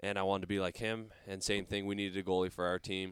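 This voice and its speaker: Canadian accent on a very clean recording with a silent background. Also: man. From Canada, small town. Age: 20s. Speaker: professional hockey goaltender. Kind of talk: casual interview chat.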